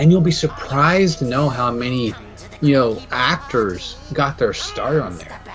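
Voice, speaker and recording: A man speaks at a moderate pace with lively intonation. Music plays in the background. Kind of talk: casual podcast talk, trailer reaction.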